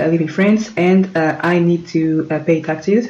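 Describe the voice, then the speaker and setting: Against noticeable background noise, a woman with a fairly low pitch speaks with fairly even intonation. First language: not English. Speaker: tech tutorial creator. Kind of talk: tutorial. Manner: halting, many fillers.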